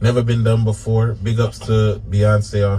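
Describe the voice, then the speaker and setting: A dark, mellow tone, somewhat breathy, at a moderate pace. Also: man. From New England. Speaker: reggae musician. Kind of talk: radio interview.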